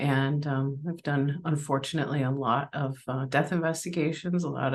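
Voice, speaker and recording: In an American accent, a woman speaks with a very deep, low pitch and fairly even intonation. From Minnesota, US. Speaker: workplace safety executive. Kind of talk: podcast interview. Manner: halting, many fillers.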